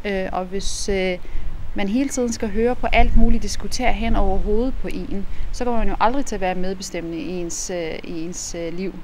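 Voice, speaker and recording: A woman talks at a moderate pace with a medium pitch and ordinary pitch variation. Light background noise sits under her voice. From Iraq. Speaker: politician. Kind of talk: interview. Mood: calm, thoughtful. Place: street.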